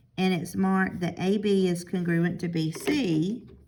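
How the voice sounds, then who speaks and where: Fairly even intonation from a woman at a medium pitch, with audible room echo. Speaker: math teacher. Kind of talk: recorded lesson review.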